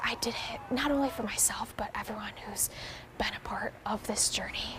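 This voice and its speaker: Whispering at a moderate pace, a woman with an American accent speaks against noticeable background noise. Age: young. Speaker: adaptive CrossFit athlete. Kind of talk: interview answer. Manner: whispered.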